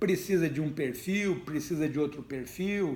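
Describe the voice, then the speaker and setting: A man's high-pitched voice with lively intonation. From Brazil, Ribeirão Preto (São Paulo state). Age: 60s. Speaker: retired army general and politician. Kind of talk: interview.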